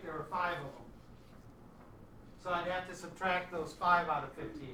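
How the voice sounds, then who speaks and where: A man speaks in a raised, projected voice. Noticeable background noise and audible room echo surround him. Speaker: math teacher. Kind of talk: classroom lesson. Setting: classroom with students.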